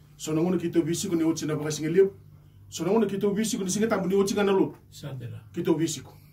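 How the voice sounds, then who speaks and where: At a very fast pace, a man talks in a high pitch with ordinary pitch variation. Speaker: pastor. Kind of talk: testimony. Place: studio.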